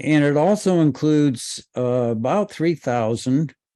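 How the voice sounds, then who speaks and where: A man talks at a very slow pace. His voice is fairly high-pitched, with ordinary pitch variation. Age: 70s. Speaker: retired naval officer and nuclear weapons activist. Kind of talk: webinar presentation.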